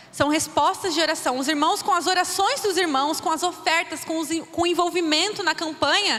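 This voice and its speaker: Speaking at a moderate pace with ordinary pitch variation, a woman's extremely high-pitched voice comes through noticeable background noise. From Brazil, interior of São Paulo state (Birigui). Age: 20s. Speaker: missionary. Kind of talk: church missions talk.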